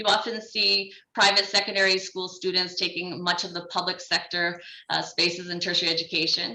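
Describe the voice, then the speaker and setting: Noticeable background noise behind a woman speaking at a fairly quick pace. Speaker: development bank education specialist. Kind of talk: conference presentation. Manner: fast.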